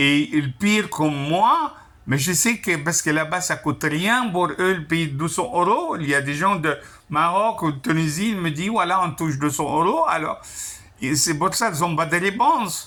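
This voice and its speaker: A man speaks fairly slowly at a high pitch, with a bright, sharp tone. His pitch varies in an ordinary way. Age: 60s. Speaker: retired construction worker, customer. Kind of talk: customer service phone complaint. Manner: halting, repetitive.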